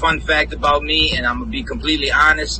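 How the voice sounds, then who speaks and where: Music plays in the background as a man speaks in a New Orleans accent, with audible room echo around him. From New Orleans, Louisiana. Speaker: independent rapper and music producer. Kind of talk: interview. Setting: live stream.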